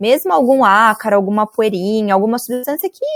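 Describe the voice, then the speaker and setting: A normal speaking voice, a woman's, fairly high in pitch with ordinary pitch variation and a dry, close sound with no echo. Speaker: university lecturer. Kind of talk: online lecture.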